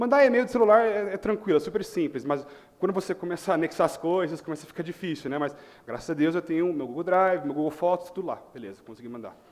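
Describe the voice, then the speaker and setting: A man with a Chicago accent, high-pitched and lively in intonation, at a very fast pace. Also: big swings in loudness. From US Midwest, Chicago. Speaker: tech company manager, panel speaker. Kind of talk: conference talk.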